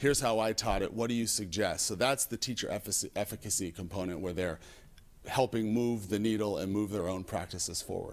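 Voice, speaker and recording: This man's voice sits fairly low, with ordinary pitch variation. He talks at a fairly quick pace. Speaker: school administrator. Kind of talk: presentation at a school board meeting. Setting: hybrid public board meeting. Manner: fast; halting, with frequent self-corrections.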